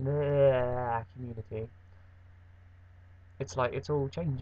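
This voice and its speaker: A man with an English accent, medium pitch, somewhat breathy, fairly even intonation at a moderate pace. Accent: broad English. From England. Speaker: vlogger. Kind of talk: casual vlog monologue. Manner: rambling, halting with fillers.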